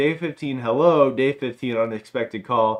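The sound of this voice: The speaker reads in an unforced reading voice, and the pitch varies in an ordinary way.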